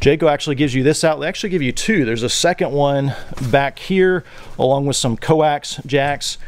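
A fairly quick pace, ordinary pitch variation and a dry sound with no echo. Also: man. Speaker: channel host. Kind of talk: tour walkthrough explanation. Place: garage. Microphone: phone near.

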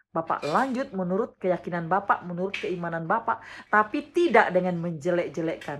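Somewhat breathy and at a medium pitch, a woman speaks with ordinary pitch variation over light background noise. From West Kalimantan, Indonesia (Dayak, Sanggau); West Kalimantan, Indonesia. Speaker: vlogger. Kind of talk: response video monologue. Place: home room. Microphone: phone near.

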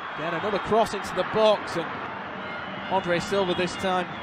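An animated man talks at a high pitch amid noticeable background noise. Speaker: football commentator. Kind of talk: live football commentary. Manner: fast, clipped, running play-by-play; animated, excitable.

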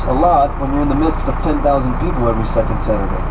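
Loud background noise sits under speech delivered at a very fast pace. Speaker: tour guide. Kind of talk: tour guide commentary. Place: bus.

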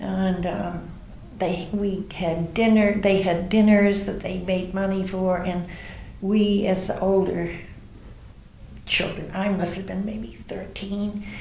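In an American accent, a woman speaks at a very slow pace with monotone, flat intonation, over light background noise and audible room echo. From New Bedford, Massachusetts. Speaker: oral history interviewee. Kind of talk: oral history interview answer. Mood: warm, reminiscing. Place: home room.

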